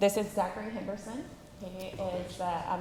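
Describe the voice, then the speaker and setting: Noticeable background noise and audible room echo surround a woman with an American accent who talks at a fairly quick pace with fairly even intonation. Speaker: juvenile detention director. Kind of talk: public meeting report. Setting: county commissioners court meeting. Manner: loud.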